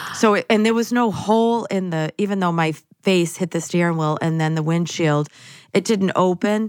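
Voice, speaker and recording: In a very clean recording with a silent background, a woman with an American accent uses a normal speaking voice at medium pitch, with ordinary pitch variation and a moderate pace. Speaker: spirit medium. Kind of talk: casual interview chat.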